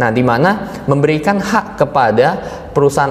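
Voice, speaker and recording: With noticeable background noise behind him, a man with a fairly high pitch and lively intonation talks at a moderate pace. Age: 20s. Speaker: insurance agency manager. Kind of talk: casual interview.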